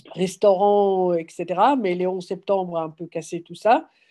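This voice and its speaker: A woman speaks in a dark, mellow tone. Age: 60s. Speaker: farmer starting a business. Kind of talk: workshop introduction round. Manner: halting.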